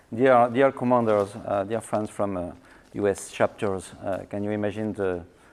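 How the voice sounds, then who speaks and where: Fairly even intonation marks a man's speech, which moves at a moderate pace. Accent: French. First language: French. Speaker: winery owner. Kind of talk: lecture. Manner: halting, many fillers and repetitions.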